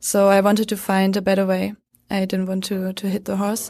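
A woman with a German accent against a quiet background. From Germany. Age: 20s. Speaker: horse training student. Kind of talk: casual interview. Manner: halting.

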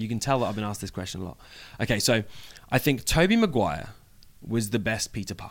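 A man with an English accent talks at a very fast pace, his pitch medium and its variation ordinary. His loudness swings widely, and he leaves long, frequent pauses. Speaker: professional wrestler. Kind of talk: interview. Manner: casual, laughing.

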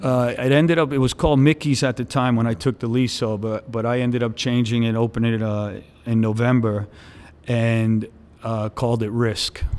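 A man at a medium pitch with a New York accent, speaking at a moderate pace with fairly even intonation. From New York City (Brooklyn, Staten Island). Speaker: nightclub entrepreneur. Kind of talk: interview. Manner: halting.

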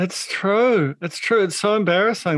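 Against a quiet background, a man with a New Zealand accent talks at a moderate pace with ordinary pitch variation. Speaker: podcast host. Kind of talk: casual chat. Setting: at home.

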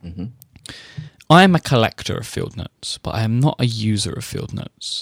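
Lively intonation at a moderate pace, somewhat breathy, in a dry, close sound with no echo. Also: man, medium pitch for a man. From UK. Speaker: podcast host.

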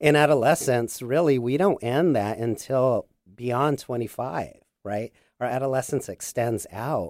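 On a very clean recording with a silent background, a man with an American accent and an ordinary speaking voice talks at a fairly slow pace, at medium pitch, with ordinary pitch variation. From southern Arizona. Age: 40s. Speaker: therapist. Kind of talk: radio interview. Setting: studio.

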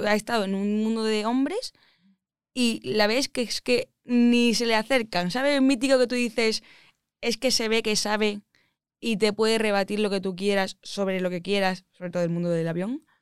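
A woman's fairly high voice with an Andalusian accent and ordinary pitch variation, at a fairly slow pace with long, frequent pauses, dry and close with no echo in a very clean recording with a silent background. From Andalusia, Málaga. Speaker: aeronautical engineer. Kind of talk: casual interview chat.

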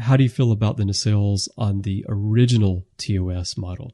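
A man's fairly low, somewhat breathy voice with an American accent, dark and mellow in tone, at a moderate pace with fairly even intonation over a quiet background. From United States. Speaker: podcast host. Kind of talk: casual chat.

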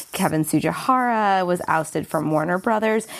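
A woman speaks in an unremarkable speaking voice at a moderate pace with ordinary pitch variation. The recording is very clean, with a silent background. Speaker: guest media industry commentator. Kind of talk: casual interview-style discussion of media news.

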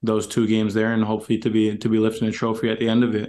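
A man's medium-pitched voice with a Canadian accent. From Canada. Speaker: professional soccer player. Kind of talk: casual chat.

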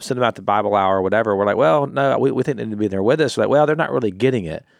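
On a very clean recording with a silent background, a man talks very fast at a fairly low pitch with ordinary pitch variation. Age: 40s. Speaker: podcast contributor. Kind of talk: casual chat.

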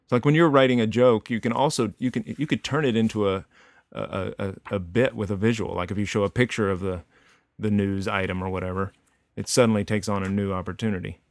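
A man speaks with a slight Texan accent, at a fairly low pitch with ordinary pitch variation. The sound is dry and close with no echo, on a very clean recording with a silent background. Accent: slight Texan drawl. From Texas, Denton (north of Dallas), rural. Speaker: cartoonist and author. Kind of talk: casual interview chat.

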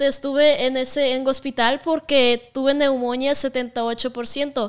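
A woman with a Russian accent speaks at a high pitch in a monotone, flat intonation. The recording is very clean, with a silent background. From Russia (Siberia). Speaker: content creator. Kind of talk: casual chat.

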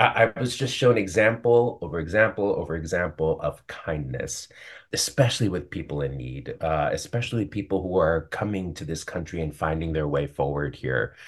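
A man with an American accent, very deep, low pitch, vocal fry and lively intonation, at a moderate pace with hardly any pauses, in a quiet background. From US Northeast, New York City. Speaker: Broadway actor. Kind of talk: casual interview. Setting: video call.

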